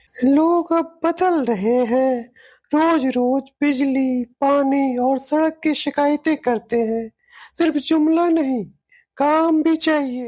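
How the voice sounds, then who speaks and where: This woman does a cartoonish character voice, high-pitched and very slow. Her loudness stays very even throughout. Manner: calm, firm.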